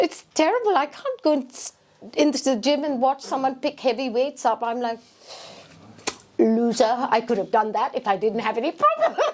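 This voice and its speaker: Against noticeable background noise, a woman speaks at a high pitch and a moderate pace with ordinary pitch variation. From England. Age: 60s. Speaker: singer-songwriter. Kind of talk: interview. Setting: restaurant event with audience. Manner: halting.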